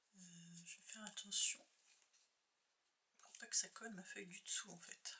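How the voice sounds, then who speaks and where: Soft-spoken and bright with a sharp tone, a woman talks at a fairly slow pace with long, frequent pauses, ordinary pitch variation and big swings in loudness. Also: medium pitch for a woman. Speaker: crafting youtuber. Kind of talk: tutorial.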